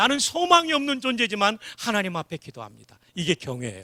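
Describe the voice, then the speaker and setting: A man speaks fairly quickly in a raised, projected voice, with a bright, sharp, animated tone. His pitch swings very widely, and the sound is dry and close with no echo. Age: 60s. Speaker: revival preacher, former army chaplain. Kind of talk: sermon. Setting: church.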